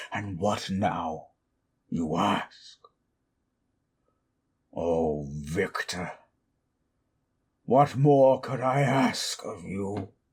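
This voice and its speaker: A man performs a put-on character voice at a fairly low pitch. He speaks at a very slow pace with long, frequent pauses. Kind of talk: audio drama roleplay. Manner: angry, shouting.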